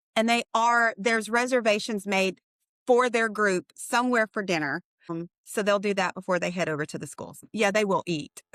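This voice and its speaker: At a moderate pace, a woman with a normal speaking voice talks at medium pitch with ordinary pitch variation, in a dry, close sound with no echo. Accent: American. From US military brat, high school in Oklahoma. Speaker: radiation therapy leader. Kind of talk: casual interview. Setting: call.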